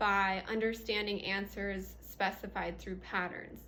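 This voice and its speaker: A woman speaks at a fairly slow pace. Her voice carries audible room echo. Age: 20s. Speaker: substitute teacher presenting research. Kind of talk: presentation. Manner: halting, many fillers.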